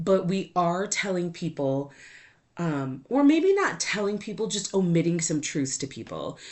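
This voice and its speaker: A woman's animated tone at a fairly slow pace, with ordinary pitch variation. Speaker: podcast host. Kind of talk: casual monologue. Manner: loud.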